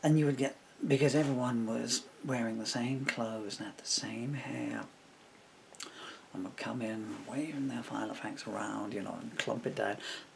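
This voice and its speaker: A man at a moderate pace, with big swings in loudness and noticeable background noise. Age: 60s. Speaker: poet and lyricist. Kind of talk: casual monologue. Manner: halting.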